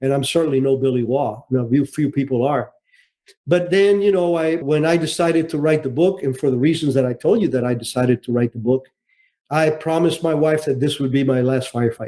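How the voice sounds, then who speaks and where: Talking at a fairly quick pace, a man has a dark, mellow tone and a fairly high pitch. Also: ordinary pitch variation. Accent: Cuban-American. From Cuba, raised in Miami. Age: 70s. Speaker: retired intelligence officer and author. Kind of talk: interview. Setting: podcast interview.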